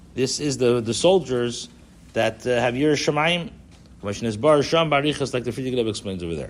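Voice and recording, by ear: A man speaks at a fairly quick pace with lively intonation and a medium pitch.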